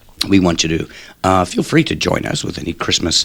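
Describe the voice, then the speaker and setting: Against noticeable background noise, a man speaks at a very fast pace with a very deep, low pitch. His intonation is lively. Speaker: radio show co-host. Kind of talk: casual radio chat.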